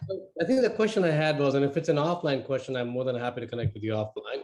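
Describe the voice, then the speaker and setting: With an Indian accent, this man talks at a medium pitch with ordinary pitch variation. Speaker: webinar attendee. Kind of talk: Q&A question.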